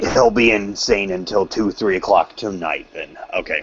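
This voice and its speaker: A raspy put-on character voice from a man, fairly low in pitch, at a moderate pace. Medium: actual play. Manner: slow, pressing, impatient.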